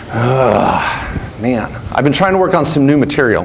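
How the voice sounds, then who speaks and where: An American accent with very wide pitch swings, audible room echo and noticeable background noise. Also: man. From Washington State, US. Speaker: attorney and accountant, seminar speaker. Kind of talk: live seminar talk. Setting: stage with audience. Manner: animated, high energy.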